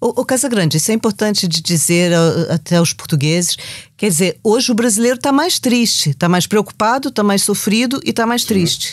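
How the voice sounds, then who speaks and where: An unremarkable speaking voice moves at a fairly quick pace with lively intonation and very even loudness. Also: woman, fairly high pitch for a woman. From Brazil, Rio de Janeiro. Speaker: podcast host, journalist. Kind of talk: interview.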